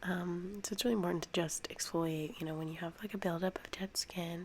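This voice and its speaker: A woman speaks at a moderate pace with a fairly low pitch and flat, monotone intonation. Noticeable background noise runs underneath. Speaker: ASMR creator. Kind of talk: ASMR soft-spoken tutorial. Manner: soft-spoken; hesitant with fillers.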